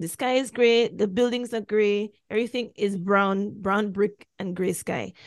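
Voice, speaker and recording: A woman's plain, everyday voice at medium pitch, with fairly even intonation and a fairly slow pace. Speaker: podcast host. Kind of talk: casual chat.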